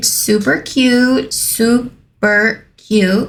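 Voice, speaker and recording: A woman speaks with a Spanish accent in a somewhat breathy voice, her pitch varying in an ordinary way. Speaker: nail art youtuber. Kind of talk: casual vlog outro. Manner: animated.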